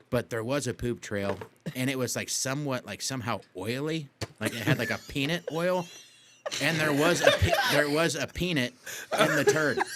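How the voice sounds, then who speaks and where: A man speaks at a moderate pace with a fairly high pitch and lively intonation. Noticeable background noise runs underneath. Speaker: podcast host. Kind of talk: casual chat. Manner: halting, stumbles over words.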